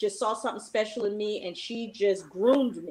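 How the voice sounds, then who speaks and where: It is a plain, everyday voice. The delivery moves at a fairly quick pace. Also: woman. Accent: American. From Richmond, Virginia. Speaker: English teacher. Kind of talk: panel discussion.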